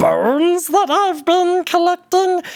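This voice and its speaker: A put-on character voice at a fairly slow pace. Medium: actual play. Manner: taunting, brash.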